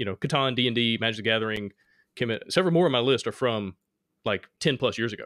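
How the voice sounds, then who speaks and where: A very fast-talking man with an Alabama accent, medium pitch and ordinary pitch variation. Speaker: board game design podcast host. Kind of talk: casual chat.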